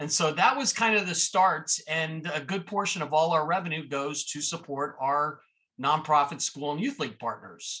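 With an American accent and a bright, sharp tone, a man with fairly high pitch speaks at a moderate pace with ordinary pitch variation. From Miami, Florida. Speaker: entrepreneur. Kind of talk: interview.

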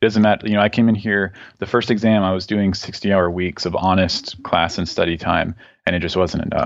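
In a normal speaking voice, a man with an American accent and a fairly low pitch talks at a fairly quick pace with fairly even intonation over a quiet background. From Southeast Texas. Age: 30s. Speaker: medical student, army veteran. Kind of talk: interview.

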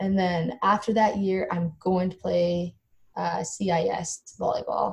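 A dark, mellow, somewhat breathy tone at a fairly slow pace. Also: woman. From Canada, rural Alberta. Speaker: professional volleyball player. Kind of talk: interview.

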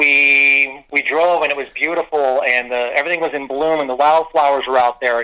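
Noticeable background noise sits behind a man speaking at a moderate pace with hardly any pauses. His fairly high voice stays monotone and flat. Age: 50s. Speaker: mayor. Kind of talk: casual chat.

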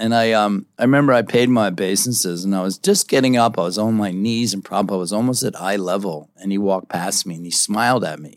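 A man's fairly low voice rushes along very fast, its pitch varying in an ordinary way. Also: hardly any pauses, very clean recording, silent background. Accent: American. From US Northeast, Philadelphia. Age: 70s. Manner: animated, loud.

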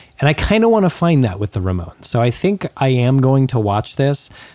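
A man with an American accent at a moderate pace over noticeable background noise. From Southern California, Antelope Valley. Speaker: punk music podcast co-host. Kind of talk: casual chat.

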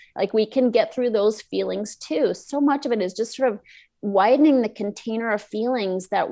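In a normal speaking voice, a woman talks at a moderate pace. Her voice sits fairly high, and its pitch varies in an ordinary way. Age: 50s. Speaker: emotional eating coach and author. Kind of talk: interview.

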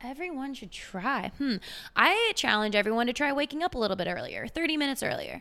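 The voice is raised and projected, energetic, with a bright, sharp tone. It races along at a very fast pace, the pitch swinging very widely. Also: woman, high pitch for a woman. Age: 20s. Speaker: fitness trainer. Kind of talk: casual chat.

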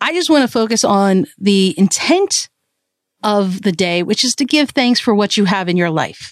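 A woman with a plain, everyday voice and an American accent speaks at a moderate pace with lively intonation, the sound dry and close with no echo. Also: medium pitch for a woman. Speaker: podcast host. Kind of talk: solo motivational podcast talk. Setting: traveling in India.

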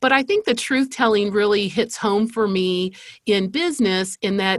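On a very clean recording with a silent background, a woman with an American accent and an unremarkable speaking voice talks at a moderate pace, with a medium pitch and ordinary pitch variation. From Spain (American missionary family). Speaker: marketing agency CEO. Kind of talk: interview conversation.

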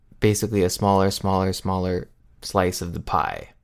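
The speaker is a man. His recording is very clean, and the background is silent. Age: 20s. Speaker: singer-songwriter. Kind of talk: interview.

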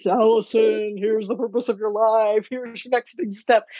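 Booming and fairly high in pitch, this put-on character voice moves at a moderate pace.

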